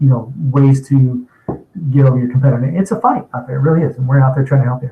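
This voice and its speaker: At a very fast pace, a man speaks somewhat breathily at a medium pitch with ordinary pitch variation. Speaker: internet marketing company owner. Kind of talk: webinar presentation.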